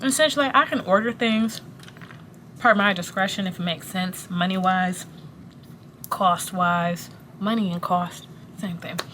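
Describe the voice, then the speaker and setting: Speaking at a moderate pace with a medium pitch, a woman leaves long, frequent pauses. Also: ordinary pitch variation. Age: 20s. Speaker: pharmacist and manager. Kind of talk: casual vlog rant while working. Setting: at work in a pharmacy. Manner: pauses a lot.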